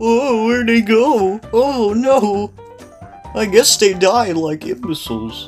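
A put-on character voice, fairly high and fairly slow, over clear background music. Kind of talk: casual gameplay commentary. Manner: dumb, mocking. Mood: playful, mocking.

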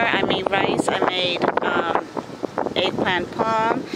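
Loud background noise accompanies a woman whose voice has a dry sound with no echo. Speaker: family vlogger. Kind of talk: casual vlog chat. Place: waterside. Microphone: phone near.

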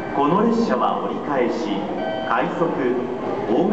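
Amid loud background noise and audible room echo, a man speaks at a fairly slow pace. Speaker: station announcer. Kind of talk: train station platform announcement. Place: station.

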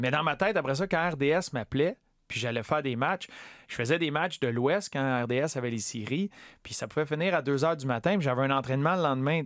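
A man with a Quebec accent, fairly high in pitch, with ordinary pitch variation. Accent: Québécois French. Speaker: former hockey player and TV analyst. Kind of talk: casual interview.

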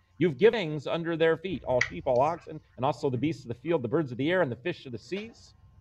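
A man with an American accent and a fairly high pitch, very fast and with hardly any pauses, lively in intonation, over noticeable background noise. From Phoenix, Arizona; Arizona. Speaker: pastor. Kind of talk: Bible study. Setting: church hall with online viewers. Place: home room. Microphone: video call.

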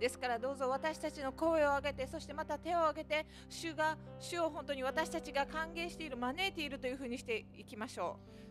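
Clear music plays in the background. Over it, a woman speaks at a high pitch. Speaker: interpreter for the preacher. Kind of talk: live interpretation of a sermon. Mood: calm, reverent. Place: church. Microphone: podium.

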